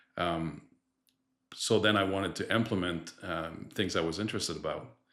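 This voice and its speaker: A man with a Quebec accent speaks at a very deep, low pitch. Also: ordinary pitch variation, moderate pace, very clean recording, silent background. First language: French. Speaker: distribution director. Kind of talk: podcast interview.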